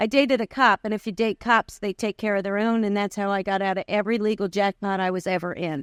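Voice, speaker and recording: This woman talks very fast with a New York accent, her medium pitch held in fairly even intonation. The sound is dry and close with no echo, on a very clean recording with a silent background. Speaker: recovery convention speaker. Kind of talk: testimony.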